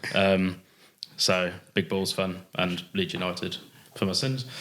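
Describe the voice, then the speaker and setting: At a moderate pace, a man talks in a Yorkshire accent. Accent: sounds like from Bradford. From England, Warwick/Leamington area. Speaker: amateur rugby player. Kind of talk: casual podcast chat. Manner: hesitant, many fillers.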